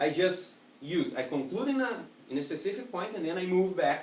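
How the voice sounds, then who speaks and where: A man with a Portuguese accent speaks at a high pitch with very wide pitch swings. Noticeable background noise and audible room echo fill the recording. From Italy. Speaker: public speaking trainer. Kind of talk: educational presentation.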